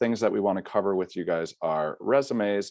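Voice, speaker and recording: A man with an American accent at a fairly quick pace, dry and close with no echo, over a quiet background. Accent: American, stands out locally. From US Midwest, Chicago. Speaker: study abroad internship coordinator. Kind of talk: webinar presentation. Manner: casual, many filler uhs.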